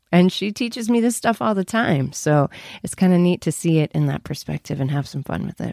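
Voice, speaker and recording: A woman's fairly low voice at a fairly quick pace, dry and close with no echo. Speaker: voiceover actor. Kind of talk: interview.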